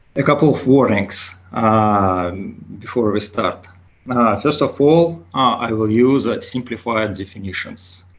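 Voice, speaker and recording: A man talks at a fairly slow pace with ordinary pitch variation, his voice carrying audible room echo. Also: medium pitch for a man. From Russia. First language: Russian. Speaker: conference speaker, big data developer. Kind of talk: lecture. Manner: halting with many fillers.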